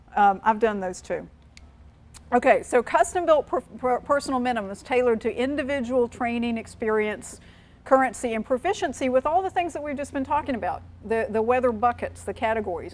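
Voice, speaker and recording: With a slight North Carolina accent, a woman speaks quickly in a high voice with lively intonation. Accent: slight North Carolina twang. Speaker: aviation safety presenter. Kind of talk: seminar presentation. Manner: repetitive, self-correcting.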